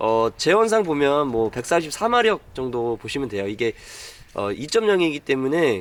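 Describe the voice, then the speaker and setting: A man with a fairly high voice speaks at a moderate pace, his pitch swinging very widely. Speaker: car reviewer. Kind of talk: car review walkaround talk.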